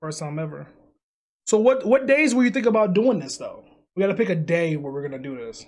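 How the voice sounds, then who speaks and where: Energetic and fairly quick, a man speaks in a high voice with very wide pitch swings and big swings in loudness. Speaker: podcast co-host and video creator. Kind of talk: casual chat. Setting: home recording at night. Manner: loud, energetic; held back to avoid waking housemates.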